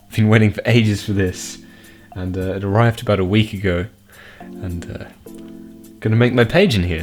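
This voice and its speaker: A man speaks at a moderate pace with a fairly low pitch and fairly even intonation, his loudness swinging widely. Music plays in the background, and he takes long, frequent pauses. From Australia. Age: young. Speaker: geocaching vlogger. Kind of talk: casual talk to camera. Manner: casual, hesitant.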